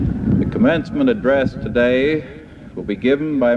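With noticeable background noise behind him, a man speaks using ordinary pitch variation. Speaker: university president introducing the speaker. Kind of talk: formal introduction at a ceremony. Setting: archival reel-to-reel recording of a live ceremony. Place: stadium.

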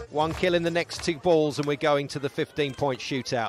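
An animated man's fairly high voice with ordinary pitch variation, crowd noise behind him. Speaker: play-by-play commentator. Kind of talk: live play-by-play sports commentary with exclamations. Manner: animated, bursts of excitement on big plays.

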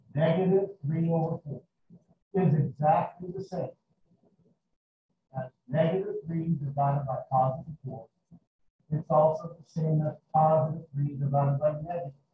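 A man speaks at a moderate pace with long, frequent pauses and fairly even intonation. There is audible room echo and noticeable background noise. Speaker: math teacher. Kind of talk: lecture. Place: classroom.

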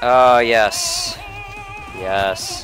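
Dry sound with no echo and noticeable background noise. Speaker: let's play gamer. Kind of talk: casual gameplay commentary. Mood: playful, reactive.

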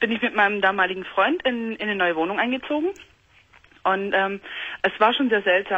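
In an ordinary speaking voice, a woman talks at a fairly quick pace with medium pitch and ordinary pitch variation. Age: 20s. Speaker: caller. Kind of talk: phone-in talk. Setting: phone call. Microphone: phone line.

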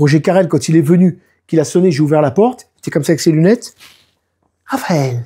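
Against a quiet background, the voice has a dark, mellow tone and moves at a moderate pace. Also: man. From France, Nice; France. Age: 50s. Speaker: didgeridoo player and DJ; DJ. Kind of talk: casual interview. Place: home room.

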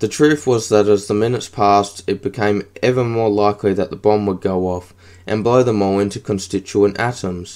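Someone is reading aloud. The voice stays natural.

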